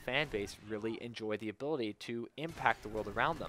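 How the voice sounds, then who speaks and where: A man with an unremarkable speaking voice and a medium pitch talks at a fairly quick pace, the sound dry and close with no echo. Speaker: gaming video host. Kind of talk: solo commentary monologue. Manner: casual.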